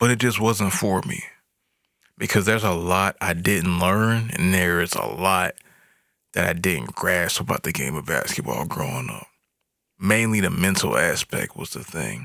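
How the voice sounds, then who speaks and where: A man with a very deep, low pitch and vocal fry speaks at a moderate pace in a relaxed, bright, sharp tone. The recording is very clean with a silent background. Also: lively intonation. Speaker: podcast host. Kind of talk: solo monologue about his life. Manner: relaxed conversational.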